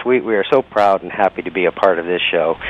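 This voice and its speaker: A man's fairly quick, fairly even-toned voice, dry and close with no echo, over noticeable background noise. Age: 60s. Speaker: dancer and entertainer. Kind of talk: interview. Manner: halting, many fillers.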